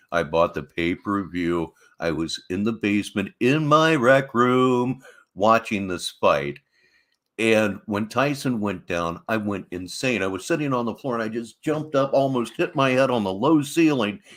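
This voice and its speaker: A man of medium pitch with an ordinary speaking voice talks at a fairly slow pace on a very clean recording with a silent background. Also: lively intonation. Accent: American. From Ohio, US Midwest. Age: 60s. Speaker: commentary youtuber. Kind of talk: commentary. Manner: casual.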